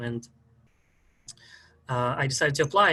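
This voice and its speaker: With a strong Russian accent, a man speaks at medium pitch in a bright, sharp tone. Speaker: historian, PhD student. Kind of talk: interview.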